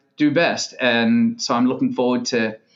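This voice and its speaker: With an American accent, a man speaks at a moderate pace, fairly high in pitch, with lively intonation. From Australia. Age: 40s. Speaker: tennis club director. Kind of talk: podcast interview. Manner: animated.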